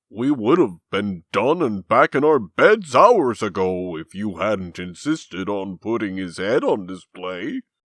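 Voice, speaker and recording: Over a quiet background, a put-on character voice moves at a fairly slow pace with hardly any pauses. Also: man, fairly low pitch for a man. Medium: fan dub.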